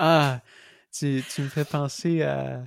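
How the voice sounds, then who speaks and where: The speaker has a Quebec accent, recorded very cleanly with a dry, close sound, no echo and a silent background. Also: man. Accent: Québécois French. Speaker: cycling traveller. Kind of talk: interview. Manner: halting.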